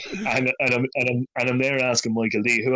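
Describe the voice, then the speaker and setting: A man speaks in an Irish accent. His pace is fairly quick. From Ireland. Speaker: poet. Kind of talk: interview. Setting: remote call.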